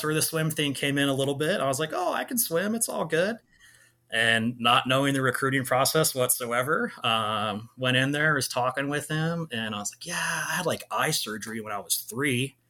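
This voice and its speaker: A man with an American accent, fairly high-pitched, with a bright, sharp tone, lively intonation and a fairly quick pace. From Central California, US (Clovis, Fresno area). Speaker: sales director and Army veteran. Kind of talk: casual interview chat.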